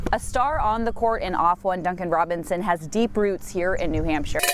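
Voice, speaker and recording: Amid noticeable background noise, a woman speaks at a medium pitch. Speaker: TV news reporter. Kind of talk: TV news field report.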